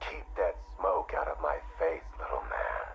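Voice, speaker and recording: This is a cartoonish character voice. Background noise is clearly heard. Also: moderate pace. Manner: gruff, blunt.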